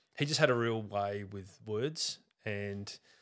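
An Australian accent with ordinary pitch variation, in a very clean recording over a silent background. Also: man. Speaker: athlete and Pilates instructor. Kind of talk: casual interview chat.

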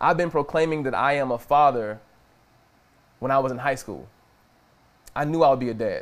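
Speaking at a fairly quick pace with an animated tone, a man at medium pitch uses ordinary pitch variation and takes long, frequent pauses. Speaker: preacher. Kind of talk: sermon.

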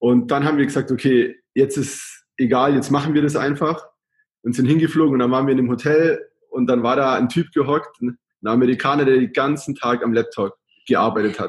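He has an unremarkable speaking voice and a medium pitch. The man moves at a fairly quick pace with fairly even intonation. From Germany, Augsburg (Bavarian Swabia). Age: 20s. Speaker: travel blogger. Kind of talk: casual interview.

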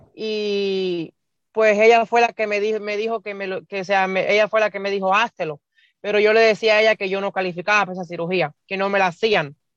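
A woman talks at a fairly quick pace with a medium pitch and flat, monotone intonation. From Cuba. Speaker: bariatric surgery patient. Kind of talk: interview. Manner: halting.

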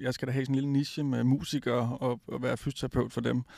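A man talks very fast with monotone, flat intonation. The sound is dry and close, with no echo. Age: 40s. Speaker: physiotherapist. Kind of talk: interview. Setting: recorded at a high school.

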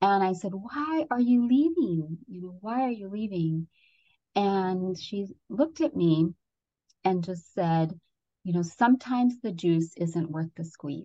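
Woman at a fairly slow pace, medium pitch, somewhat breathy, with an American accent and big swings in loudness. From Ecuador, then California from age six. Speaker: fitness and safety professional, doctor of education. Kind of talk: interview, storytelling. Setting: phone or video call.

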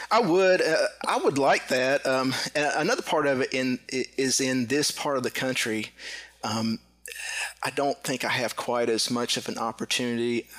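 A man with a medium-pitched voice speaks at a moderate pace with ordinary pitch variation, with noticeable background noise behind him. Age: 40s. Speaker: competitive airgun shooter. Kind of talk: casual interview.

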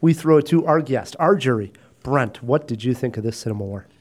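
An unremarkable speaking voice from a man, fairly quick in pace, medium in pitch, with ordinary pitch variation. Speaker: film podcast host. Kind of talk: casual chat. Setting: studio.

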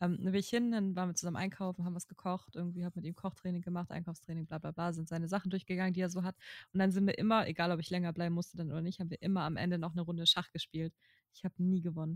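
A woman's fairly low voice at a very fast pace, flat and monotone in intonation. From northern Germany (Kiel-Mettenhof). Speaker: podcast co-host. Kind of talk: casual chat.

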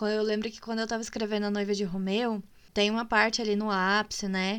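The fairly high-pitched woman is heard on a very clean recording with a silent background. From Minas Gerais, Brazil. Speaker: podcast host and writer. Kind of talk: casual chat. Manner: animated.

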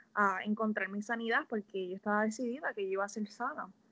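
Against a quiet background, a woman speaks in a fairly high pitch with a bright, sharp tone. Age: 20s. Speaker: health coach. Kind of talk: casual interview.

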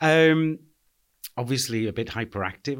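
On a very clean recording with a silent background, a man with a Liverpool accent talks at a very fast pace. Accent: Scouse. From Liverpool (Anfield). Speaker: charity chief executive. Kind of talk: interview.

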